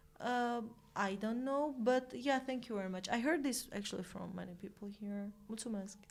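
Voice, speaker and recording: A woman with a fairly high pitch speaks at a moderate pace over noticeable background noise. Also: ordinary pitch variation. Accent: Romanian. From Armenia. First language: Armenian. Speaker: volunteer and colleague. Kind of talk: casual chat.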